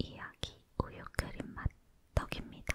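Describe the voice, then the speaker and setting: A woman is whispering. Her pace is very slow. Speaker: ASMR creator. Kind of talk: whispered ASMR chat while eating. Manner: whispered.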